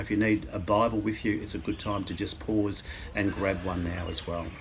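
A man with a fairly low pitch talks at a fairly quick pace, somewhat breathy, over light background noise. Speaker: church minister. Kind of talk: sermon. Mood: calm, warm, reflective. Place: garden. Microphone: phone near.

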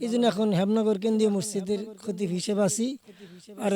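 Against noticeable background noise, a man speaks at a high pitch with monotone, flat intonation. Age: 60s. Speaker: madrasa teacher and mosque preacher. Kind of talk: interview. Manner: halting.

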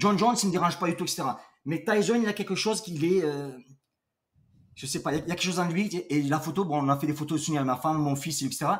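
A man talks at a very fast pace. His pitch is high, with ordinary variation. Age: 50s. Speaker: entrepreneur, boxing coach; boxing coach. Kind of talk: casual chat. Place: home room.

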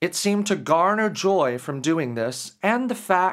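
This clip carries a natural reading voice marked by lively intonation.

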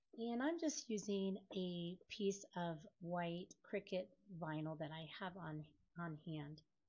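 A woman speaks at a very slow pace in a fairly low, somewhat breathy voice with ordinary pitch variation. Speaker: craft tutorial youtuber. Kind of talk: tutorial.

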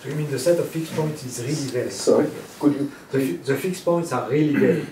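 A fairly high-pitched man's voice with a French accent, audible room echo and light background noise. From France. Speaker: mathematician giving a talk. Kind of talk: lecture. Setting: lecture hall with audience. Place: hall.

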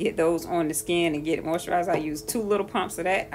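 Faint music sits in the background while a woman speaks with a fairly low pitch and ordinary pitch variation. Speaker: skincare vlogger. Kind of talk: tutorial. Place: bathroom. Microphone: phone near.

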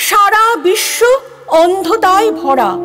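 A woman uses a put-on character voice at an extremely high pitch. She speaks at a very slow pace with faint music in the background. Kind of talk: audio drama.

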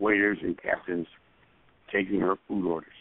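Here a man talks in an American accent at a moderate pace. His intonation is monotone and flat. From US. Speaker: stage and screen actor. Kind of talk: interview storytelling. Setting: phone call.

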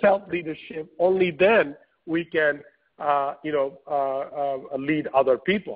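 Speaking at a fairly slow pace, a man has an unremarkable speaking voice with a fairly high pitch and ordinary pitch variation. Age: 40s. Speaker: entrepreneur and author. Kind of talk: webinar interview. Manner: frequent fillers and repetitions.

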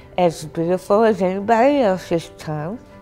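With music in the background, a woman speaks at a medium pitch and ordinary pitch variation. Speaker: tongue cancer patient. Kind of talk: interview answer. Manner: slow.

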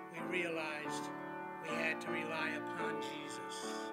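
A man speaks against a noticeable amount of background noise. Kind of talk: short spoken introduction before singing. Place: church. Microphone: podium.

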